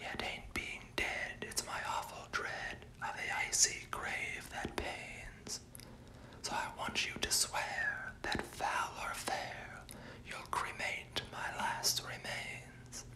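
A whisper at a very slow pace, with noticeable background noise. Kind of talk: poetry reading, ASMR. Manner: whispered.

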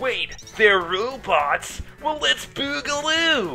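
A put-on character voice at a fairly high pitch, very slow pace and very wide pitch swings, with clear music in the background. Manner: playful, upbeat.

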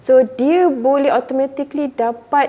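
This woman talks very slowly. Her pitch shows ordinary variation. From Malaysia, Muar, Johor. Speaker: university lecturer. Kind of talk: casual interview.

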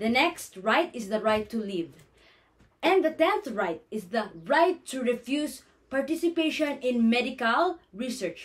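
A woman with a Filipino accent speaks at a fairly slow pace. Her high pitch makes very wide swings. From Philippines. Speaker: nursing student. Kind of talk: class presentation. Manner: formal. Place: home room. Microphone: phone near.

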